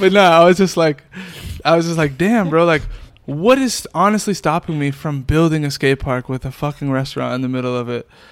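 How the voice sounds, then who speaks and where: A man's plain, everyday voice with ordinary pitch variation. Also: fairly high pitch for a man, fairly quick pace. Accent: American. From Worcester, Massachusetts. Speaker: music video director. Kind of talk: casual interview chat.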